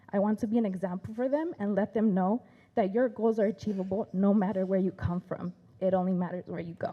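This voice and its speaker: A woman with a Spanish accent, medium in pitch, very fast, with ordinary pitch variation. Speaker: teacher. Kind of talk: prepared speech.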